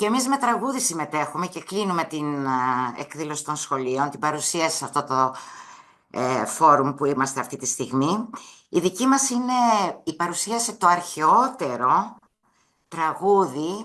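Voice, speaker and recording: Against a quiet background, a woman with a very deep, low voice and a bright, sharp tone talks fairly slowly, her pitch swinging very widely. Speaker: school teacher. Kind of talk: webinar presentation.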